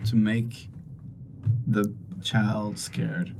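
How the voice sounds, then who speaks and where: With audible room echo, a man talks at a medium pitch. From Sweden. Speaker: sales coach and inspirational speaker. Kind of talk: interview.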